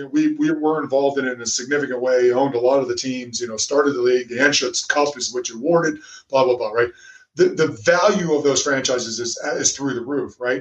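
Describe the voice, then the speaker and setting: A man with an American accent speaks in an unremarkable speaking voice, his fairly high pitch held to a fairly even intonation. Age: 50s. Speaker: former international rugby player and sports executive. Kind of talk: interview.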